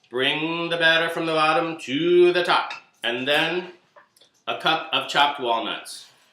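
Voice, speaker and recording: Against audible room echo, a man with a fairly high pitch speaks at a fairly slow pace with fairly even intonation. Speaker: cooking show host. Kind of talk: cooking tutorial.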